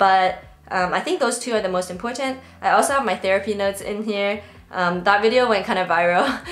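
At a fairly quick pace, the pitch shifts an ordinary amount. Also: woman. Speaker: productivity creator. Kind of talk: tutorial. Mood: friendly, upbeat. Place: home room.

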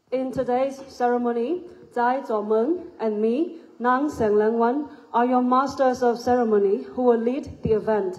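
This voice belongs to a woman and sits high. Its pitch moves in an ordinary way. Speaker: master of ceremonies. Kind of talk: ceremony announcements. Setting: stage with audience. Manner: formal. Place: hall. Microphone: pa.

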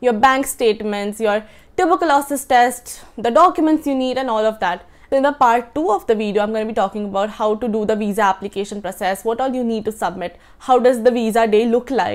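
A woman talks at a very fast pace. Her pitch varies in an ordinary way. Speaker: student vlogger. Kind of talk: informational vlog talk. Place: home room. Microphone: lapel.

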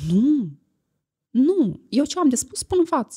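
A woman speaks at a very slow pace in a dark, mellow tone. Her pitch swings very widely against a quiet background. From Moldova. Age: 30s. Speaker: influencer. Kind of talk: casual chat. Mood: confident, assertive. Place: studio. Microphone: studio mic.

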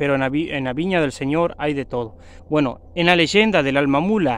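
Dry with no echo, a man speaks in a dramatic tone at a fairly slow pace, with a fairly high pitch and ordinary pitch variation. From Argentina. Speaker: YouTuber and mechanic. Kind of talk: ghost story telling, spooky legend told to camera. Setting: outdoors in the woods. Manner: dramatic, hushed suspense with sound effects, repeating 'amigos'; slow, repetitive, conversational. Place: forest. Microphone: phone near.

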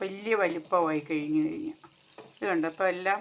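This is a woman with an ordinary speaking voice. Her pitch sits at a medium level. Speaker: village life vlogger. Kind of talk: casual vlog narration.

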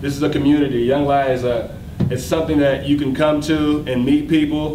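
Fairly quick speech with an American accent, over noticeable background noise. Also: man. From Oklahoma, US. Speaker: fashion designer and brand founder. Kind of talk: speech at launch party. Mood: grateful, upbeat. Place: hall. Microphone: podium.

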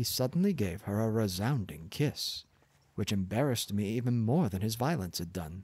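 Lively intonation shapes an unforced reading voice.

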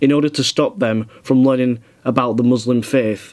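A man speaks with a Yorkshire accent at a medium pitch. His pace is moderate and his intonation fairly even. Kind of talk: reading a news article aloud.

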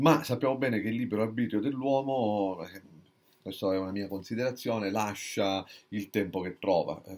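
A man speaks at a moderate pace in a fairly low pitch, with ordinary pitch variation and big swings in loudness. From Sicily, Catania. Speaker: book reviewer. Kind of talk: book review monologue. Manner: halting, many fillers and restarts. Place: home room. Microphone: webcam.

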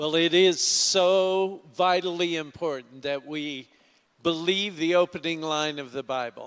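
A man speaks at a fairly slow pace with a normal speaking voice. His pitch is fairly high and his intonation fairly even. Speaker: pastor. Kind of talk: church announcements. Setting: church.

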